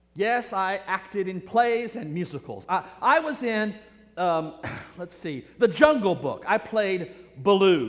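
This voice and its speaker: A man's high voice with very wide pitch swings, over noticeable background noise. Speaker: pastor. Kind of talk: sermon. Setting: church.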